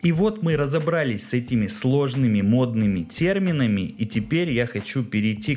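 Someone with an ordinary speaking voice talks at a moderate pace with lively intonation. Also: man. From Russia, Kirov. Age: 30s. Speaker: podcast host, small business owner. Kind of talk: solo podcast monologue.

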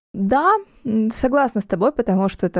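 Here a woman has an unremarkable speaking voice, with lively intonation at a moderate pace. The recording is very clean with a silent background, and the sound is dry and close with no echo. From Ukraine, Donetsk. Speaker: sex blogger, party organizer. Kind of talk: casual interview chat.

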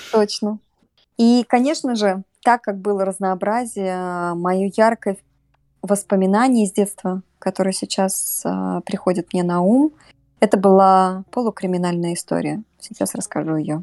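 A woman's medium-pitched, dark, mellow voice at a fairly slow pace, with ordinary pitch variation, long, frequent pauses and a dry, close sound with no echo. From Russia, Samara. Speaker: podcast guest. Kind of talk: casual storytelling interview.

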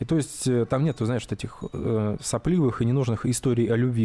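A man speaks at a fairly quick pace in a dark, mellow tone. His intonation is fairly even. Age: 30s. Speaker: podcast co-host. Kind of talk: casual chat.

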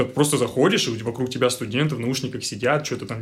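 A man speaks at a moderate pace in a medium pitch. His intonation is fairly even, with audible room echo. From Russia, Tyumen. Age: 20s. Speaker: engineer. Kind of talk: casual chat.

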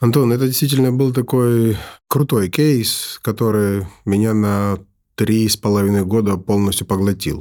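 A man with a fairly low pitch and a dark, mellow tone speaks at a moderate pace, with ordinary pitch variation and very even loudness. The recording is very clean, with a silent background. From Ukraine, Kyiv; Georgian family. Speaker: business consultant, entrepreneur. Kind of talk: interview conversation.

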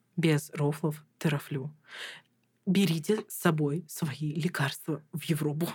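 Very slowly and with long, frequent pauses, a woman speaks in a very deep, low, somewhat breathy voice whose loudness swings widely. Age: 20s. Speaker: master's student. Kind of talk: casual chat. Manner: animated.

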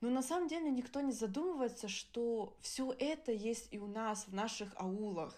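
This voice has a dark, mellow tone and lively intonation, moving at a moderate pace with hardly any pauses. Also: woman, fairly high pitch for a woman. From Germany. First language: Adyghe (speaking Russian). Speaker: podcast co-host. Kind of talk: casual chat.

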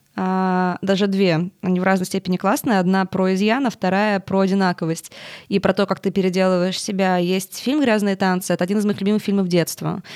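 With an ordinary speaking voice, a woman talks in fairly even intonation, the sound dry and close with no echo on a very clean recording with a silent background. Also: medium pitch for a woman, fairly quick pace, very even loudness. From Russia, Tolyatti. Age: 20s. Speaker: media and design executive. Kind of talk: interview.

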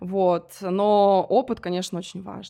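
A normal speaking voice is heard on a very clean recording with a silent background. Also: woman. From Russia, provincial town near Moscow. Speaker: wedding agency founder. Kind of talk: interview.

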